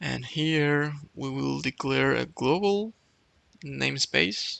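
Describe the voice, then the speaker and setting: His speech comes very slowly. This man has a non-native accent. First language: not English. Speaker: programming YouTuber. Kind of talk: tutorial. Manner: hesitant, with fillers and restarts.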